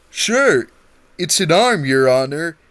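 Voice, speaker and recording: His pitch runs high. The man is doing a put-on character voice. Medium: read story. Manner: deferential.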